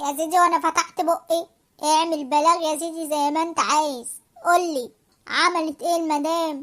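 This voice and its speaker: A woman uses a cartoonish character voice at an extremely high pitch. Her intonation stays monotone and flat. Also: moderate pace. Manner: impatient, sardonic.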